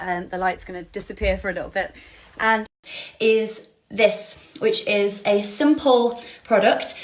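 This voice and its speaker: A woman talks in an English accent at a fairly high pitch. Her pitch varies in an ordinary way over noticeable background noise. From England. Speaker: actor, model and tour guide. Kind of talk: casual live stream product demo. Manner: chatty with many fillers.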